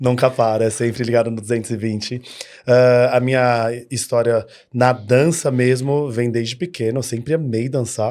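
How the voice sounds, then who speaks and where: At a moderate pace, a man talks in a medium pitch. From São Paulo, Brazil. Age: 30s. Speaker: dance studio owner. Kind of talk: podcast interview. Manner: animated.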